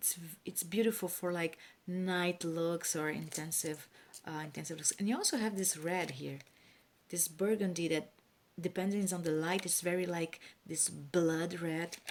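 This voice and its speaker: A woman talks at a fairly low pitch with a non-native accent. Her intonation is fairly even and her pace moderate. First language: not English. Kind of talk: casual talk to camera.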